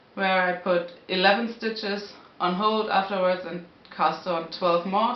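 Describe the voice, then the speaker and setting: A woman with a non-native accent, at a very slow pace, in audible room echo. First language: not English. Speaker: knitting podcaster. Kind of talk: casual talk to camera. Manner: hesitant, searching for words. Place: home room. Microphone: camera far.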